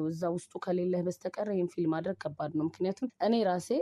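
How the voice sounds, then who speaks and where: A woman talks in a plain, everyday voice, fairly low in pitch with fairly even intonation. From Ethiopia. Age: young. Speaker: singer; radio interviewee. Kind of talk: casual interview. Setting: phone call. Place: studio. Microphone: studio mic.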